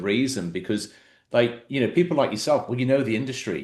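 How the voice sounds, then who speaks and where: A man speaks at a medium pitch. He has an English accent. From England. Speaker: podcast host. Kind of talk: interview conversation.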